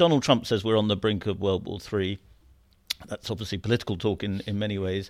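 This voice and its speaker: A man with a British accent talks fairly quickly at a fairly low pitch, with ordinary pitch variation. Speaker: podcast host. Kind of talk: interview conversation. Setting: in studio.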